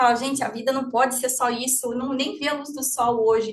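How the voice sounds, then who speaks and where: Here a woman talks at a fairly quick pace. Her voice is high. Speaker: therapist and lecturer. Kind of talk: lecture. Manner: fast.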